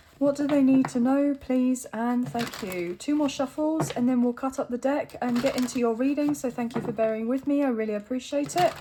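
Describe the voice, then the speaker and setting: A high-pitched woman at a fairly quick pace with hardly any pauses and ordinary pitch variation, over noticeable background noise. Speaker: tarot reader. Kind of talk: tarot reading. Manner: casual, chatty.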